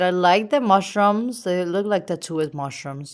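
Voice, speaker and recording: In a very clean recording with a silent background, a woman with a Venezuelan accent speaks at a moderate pace and a fairly low pitch. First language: Spanish. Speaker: artist. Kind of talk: casual sketchbook tour.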